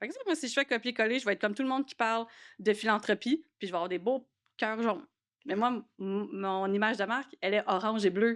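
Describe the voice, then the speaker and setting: Speaking very fast, a woman with a fairly high voice uses ordinary pitch variation on a very clean recording with a silent background. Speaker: podcast host. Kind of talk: casual chat.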